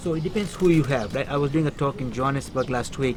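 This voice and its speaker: Very fast pace, ordinary pitch variation, and noticeable background noise. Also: man. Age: 60s. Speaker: inspirational speaker. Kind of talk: interview.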